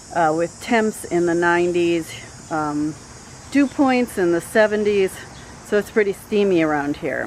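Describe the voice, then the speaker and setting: A woman with a fairly low pitch talks fairly slowly while noticeable background noise carries on around her. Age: 50s. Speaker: gardening YouTuber. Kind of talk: garden tour vlog. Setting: outdoors in garden. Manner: casual, many filler words.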